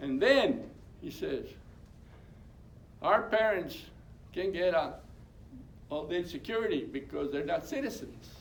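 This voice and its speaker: The audible room echo carries a man's fairly slow speech. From California Central Valley. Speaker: labor union co-founder. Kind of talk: oral history talk. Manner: halting, repetitive.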